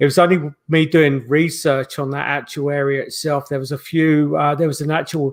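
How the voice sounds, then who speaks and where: A man talks at a fairly high pitch and a moderate pace. His intonation is monotone and flat, on a very clean recording with a silent background. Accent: London. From South London, England (Croydon). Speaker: paranormal investigator. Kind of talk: interview. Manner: halting, many fillers.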